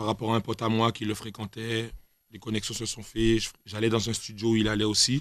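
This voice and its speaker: Against a quiet background, a man talks at a fairly quick pace in a monotone, flat intonation, the sound dry with no echo. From Guadeloupe. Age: 20s. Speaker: rapper; guest. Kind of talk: casual interview. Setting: radio studio. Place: studio. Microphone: studio mic.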